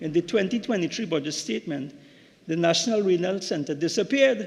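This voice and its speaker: Against a quiet background, a man speaks fairly quickly with lively intonation. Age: 60s. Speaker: member of parliament, doctor. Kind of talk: parliamentary speech. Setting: parliament chamber. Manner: halting, with repetitions.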